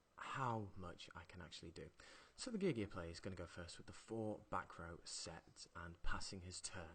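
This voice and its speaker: At a moderate pace, a man with a very deep, low pitch speaks quietly with fairly even intonation. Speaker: card game commentator. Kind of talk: live commentary. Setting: at home, others in next room.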